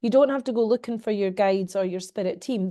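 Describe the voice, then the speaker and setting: Someone speaks with a Scottish accent in a dark, mellow tone. The pace is fairly quick, and the background is quiet. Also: woman. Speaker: medium and mentor. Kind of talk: interview answer.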